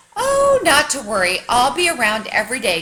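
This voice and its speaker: The pace stays moderate. It is delivered in a put-on character voice. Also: woman, high pitch for a woman. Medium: read story. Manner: chirpy, sing-song, enthusiastic.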